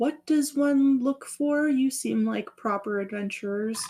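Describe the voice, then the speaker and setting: A woman uses a put-on character voice pitched high. She speaks at a fairly slow pace. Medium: actual play. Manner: earnest, inquisitive.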